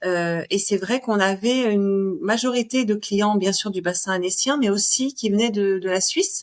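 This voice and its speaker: A woman of medium pitch speaks at a fairly slow pace with hardly any pauses. Her loudness stays very even, and her pitch varies in an ordinary way. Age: 40s. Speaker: cat hotel owner. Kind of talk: podcast interview. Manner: hesitant, many fillers.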